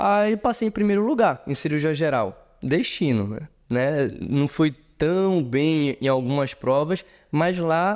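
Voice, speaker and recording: A man with lively intonation at a very slow pace. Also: quiet background. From Brazil, Pará (Marabá). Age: 30s. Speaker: surgeon. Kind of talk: interview conversation.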